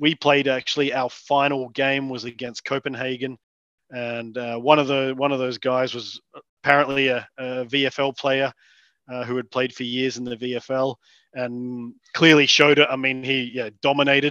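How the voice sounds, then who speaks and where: In a quiet background with a dry, close sound and no echo, a man with an Australian accent speaks in a bright, sharp tone with monotone, flat intonation. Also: medium pitch for a man, moderate pace. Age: 30s. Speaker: amateur Australian rules footballer. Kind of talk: casual interview.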